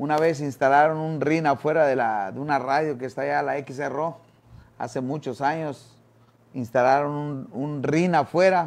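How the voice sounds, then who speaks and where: A man's fairly high voice at a fairly slow pace, with ordinary pitch variation. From Quintana Roo, Mexico. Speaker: former boxer and boxing coach; guest. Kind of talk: interview. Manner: halting, many fillers and repeated words. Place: studio. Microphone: lapel.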